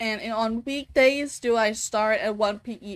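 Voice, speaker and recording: On a very clean recording with a silent background, a woman speaks with a Danish accent. Her voice is fairly high, with ordinary pitch variation. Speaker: vtuber streamer. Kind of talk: live gameplay stream chat. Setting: live stream. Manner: halting.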